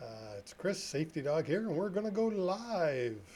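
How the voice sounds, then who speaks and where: A man speaks at a fairly slow pace, his voice somewhat breathy. His tone is dark and mellow, and his intonation is lively. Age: 60s. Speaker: trucking safety consultant. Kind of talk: live stream talk. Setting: live stream. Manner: casual, chatty.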